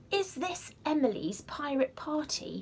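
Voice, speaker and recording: A high-pitched, put-on character voice moves at a fairly slow pace over clear background noise. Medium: read story.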